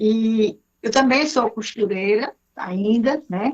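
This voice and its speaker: Speaking at a fairly high pitch, this is a woman's voice. The pitch variation is ordinary. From Brazil, Ceará (Fortaleza). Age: 60s. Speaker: speaker and mentor. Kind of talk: self-introduction on radio. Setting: radio studio.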